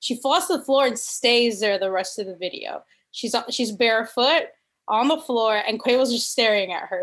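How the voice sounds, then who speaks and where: A woman with a fairly high pitch talks in an animated tone at a moderate pace, with ordinary pitch variation. The recording is very clean, with a silent background. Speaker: podcast co-host and comedian. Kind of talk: casual chat.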